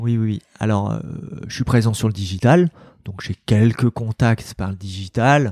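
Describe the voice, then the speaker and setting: Speaking at a very slow pace, a man with a medium pitch shows ordinary pitch variation in a dry, close recording with no echo. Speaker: executive coach. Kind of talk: casual interview. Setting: rooftop venue. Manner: energetic.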